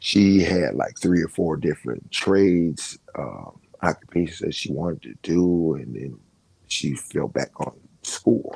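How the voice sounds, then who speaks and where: With an American accent, a man talks at a fairly slow pace in a very deep, low voice with vocal fry, ordinary pitch variation and big swings in loudness. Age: 60s. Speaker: former prisoner. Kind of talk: interview.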